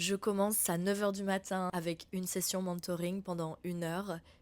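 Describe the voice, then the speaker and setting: Her medium-pitched voice stays monotone and flat as the woman speaks at a moderate pace. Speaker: podcast host, spiritual mentor. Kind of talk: casual chat. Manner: chatty, informal.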